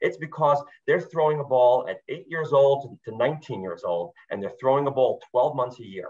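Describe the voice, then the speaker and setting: He speaks at a moderate pace with hardly any pauses, his pitch fairly high for a man. The voice is somewhat breathy, with ordinary pitch variation. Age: 60s. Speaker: youth sports program founder. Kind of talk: interview. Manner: animated, repetitive stammering.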